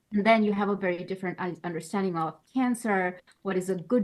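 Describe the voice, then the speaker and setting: A woman speaks very fast in a Bengali accent, at a medium pitch. Her intonation stays fairly even. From Bangladesh. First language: Bangla. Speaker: postdoctoral researcher. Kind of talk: interview. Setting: podcast.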